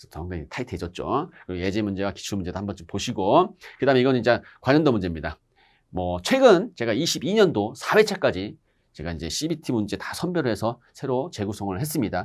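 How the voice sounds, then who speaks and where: The man talks at a very fast pace and a medium pitch, with very wide pitch swings and big swings in loudness. The recording is very clean, with a silent background. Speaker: exam-prep instructor. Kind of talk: lecture. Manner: conversational.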